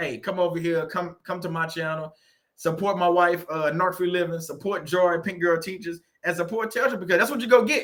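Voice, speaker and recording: A high-pitched man with a Southern US accent, fairly quick and animated, with ordinary pitch variation. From US South. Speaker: YouTuber on narcissistic abuse recovery. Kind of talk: casual monologue. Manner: halting.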